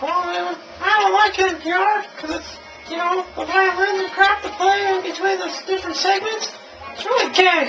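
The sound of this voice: A man puts on a character voice, talking at a moderate pace while clear background noise runs underneath.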